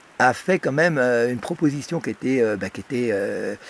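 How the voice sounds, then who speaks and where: A man's voice with very wide pitch swings. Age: 60s. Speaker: electrosensitive whistleblower. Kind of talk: interview testimony. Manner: halting, many fillers.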